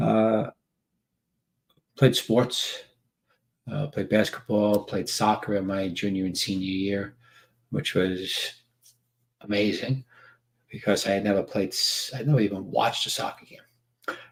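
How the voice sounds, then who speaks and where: A man with a New York accent talks at a fairly slow pace in a fairly low voice, leaving long, frequent pauses. His pitch varies in an ordinary way, and the recording is very clean with a silent background. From New York City (Staten Island). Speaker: men's workshop trainer. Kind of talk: casual live stream monologue. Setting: live video stream. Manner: halting, many fillers.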